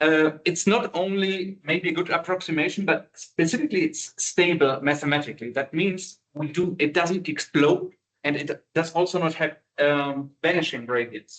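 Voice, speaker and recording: A man with a non-native accent and a high pitch speaks at a moderate pace with ordinary pitch variation. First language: not English. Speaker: university lecturer. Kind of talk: lecture. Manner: halting, many fillers.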